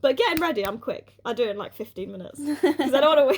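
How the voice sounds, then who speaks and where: A woman with a British accent at a very fast pace. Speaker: podcast co-host. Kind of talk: casual chat.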